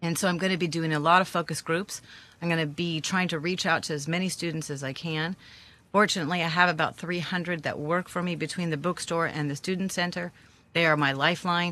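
Against a quiet background, a woman with a fairly low pitch and a bright, sharp tone speaks very fast in a monotone, flat way. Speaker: student center director. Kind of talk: casual radio interview. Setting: studio.

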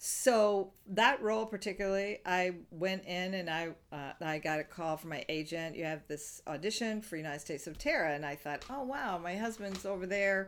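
A woman with an American accent speaks in a normal speaking voice at a medium pitch and a moderate pace, with ordinary pitch variation and hardly any pauses. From US South. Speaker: improv comedian and actor. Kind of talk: interview. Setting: remote interview.

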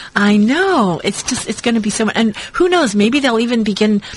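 Somewhat breathy, a woman's voice sits at a fairly high pitch. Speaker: radio co-host. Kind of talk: casual chat. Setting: radio studio.

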